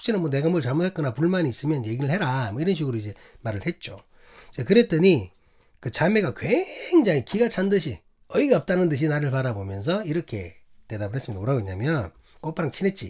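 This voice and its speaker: A man talks at a very fast pace, his pitch swinging very widely and his voice somewhat breathy. The recording is very clean, with a silent background. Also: fairly high pitch for a man. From Busan, South Korea. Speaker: pastor. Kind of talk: sermon. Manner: halting, many fillers and repetitions.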